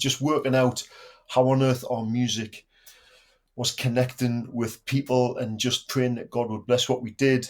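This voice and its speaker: Slowish and flat, a man of medium pitch speaks in a monotone at a fairly slow pace. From northeast England, Newcastle area (Geordie). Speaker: worship pastor and former band drummer. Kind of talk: casual interview chat.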